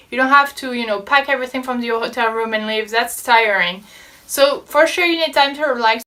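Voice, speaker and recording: With a French accent, a woman speaks at a high pitch with ordinary pitch variation. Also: fairly quick pace. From France. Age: 20s. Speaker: travel vlogger. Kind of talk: casual talk to camera.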